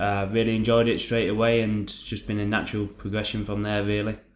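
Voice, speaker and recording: A man with a Lancashire accent, fairly low in pitch, monotone and flat in intonation, at a fairly quick pace. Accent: northern English (Lancashire). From northern England, Lancaster. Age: 20s. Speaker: MMA fighter. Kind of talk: casual interview chat.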